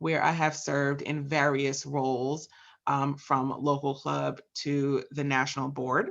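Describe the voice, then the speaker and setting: Someone with a New Jersey accent speaks at a fairly slow pace. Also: woman, quiet background. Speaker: program assistant and host of a leadership webinar. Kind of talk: webinar introduction. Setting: online webinar, voice only. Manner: enthusiastic.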